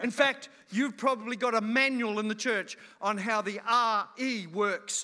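A man's high-pitched, raised and projected voice has a bright, sharp tone and fairly even intonation. He talks at a fairly slow pace with long, frequent pauses. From New Zealand / Australia. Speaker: guest preacher. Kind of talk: sermon. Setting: church service with audience.

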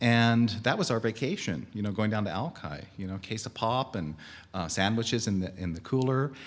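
Here is a man with an ordinary speaking voice, medium in pitch with ordinary pitch variation. He talks at a moderate pace on a very clean recording with a silent background. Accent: American. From Seattle, West Seattle. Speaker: adjunct professor, storyteller. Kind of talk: live storytelling. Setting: stage with audience.

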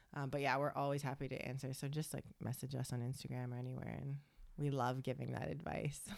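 Very fast speech from a woman with a very deep, low pitch, vocal fry, fairly even intonation and a Canadian accent. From Canada, Toronto. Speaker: podcast host. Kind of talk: casual chat.

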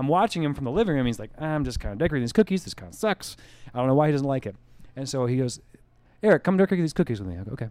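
This man's voice is fairly high, racing along at a very fast pace with very wide pitch swings and big swings in loudness. The recording is very clean, with a silent background. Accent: American. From US Northeast (rural western New York, southern tier). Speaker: brewery co-founder and head brewer. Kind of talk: casual interview chat. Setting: brewery office.

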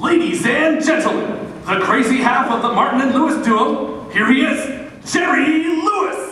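A man doing a put-on character voice, bright and sharp in tone, pitched extremely high, speaks at a fairly slow pace with lively intonation and strong room echo.

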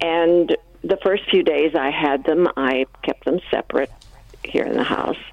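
A woman talks. Noticeable background noise can be heard. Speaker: caller. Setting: phone call.

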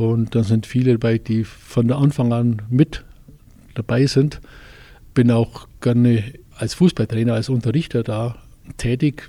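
A man speaks at medium pitch in a dark, mellow, somewhat breathy tone with fairly even intonation. His pace is fairly slow, with long, frequent pauses. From Westallgäu, Bavaria. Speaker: fitness studio owner and football coach. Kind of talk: interview.

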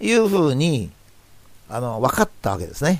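This man's pitch is fairly high and swings very widely. He talks at a fairly quick pace, with vocal fry. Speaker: professor and commentator. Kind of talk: reflective monologue talk.

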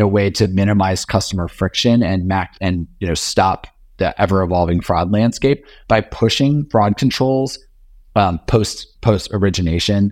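A man with an American accent speaks in a normal speaking voice at a fairly low pitch and a moderate pace, with ordinary pitch variation. The sound is dry and close with no echo, on a very clean recording with a silent background. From US South, Richmond, Virginia. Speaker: tech company CEO. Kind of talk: interview.

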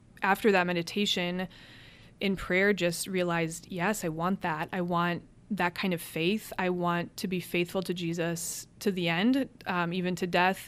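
In a very clean recording with a silent background, a woman with an American accent speaks at a fairly slow pace. Her fairly low voice has a monotone, flat intonation. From Cleveland, Ohio. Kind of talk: interview about faith and vocation.

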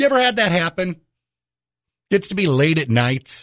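A man's somewhat breathy voice with very wide pitch swings, on a very clean recording with a silent background. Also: dry, close sound with no echo. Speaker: radio host. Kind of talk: radio DJ patter, chatty morning-show banter. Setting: radio studio. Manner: animated, fast, conversational storytelling with punchy comic timing.

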